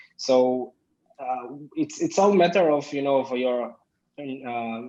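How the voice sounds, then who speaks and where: A man's medium-pitched voice with a dark, mellow tone and an Israeli accent. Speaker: business owner. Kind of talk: interview. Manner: halting.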